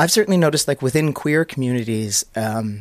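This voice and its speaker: A man with a Canadian accent uses a normal speaking voice at medium pitch, with ordinary pitch variation. The recording is very clean, with a silent background. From Canada. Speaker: comedian. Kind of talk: casual chat.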